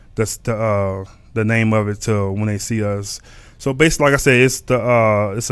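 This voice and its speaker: With a Texan accent, a man speaks at a medium pitch in a monotone, flat delivery. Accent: Texas Southern US. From Texas. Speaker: podcast host. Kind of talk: casual livestream podcast talk. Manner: halting, many fillers and repetitions.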